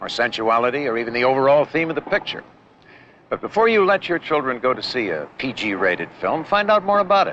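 A man talks at a fairly quick pace. The sound is dry with no echo, over light background noise. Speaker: public service announcer. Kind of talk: public service announcement. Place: stadium. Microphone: old recording.

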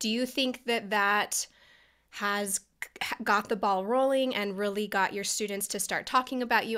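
Bright and sharp in tone, a woman speaks at a moderate pace. The background is quiet. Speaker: podcast host. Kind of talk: interview. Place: home room.

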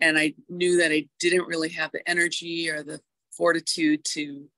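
A woman talks at a moderate pace against a quiet background. The sound is dry, with no echo. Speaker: small business owner. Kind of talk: casual chat. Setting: video call. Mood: reflective, candid. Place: office. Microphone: earbuds.

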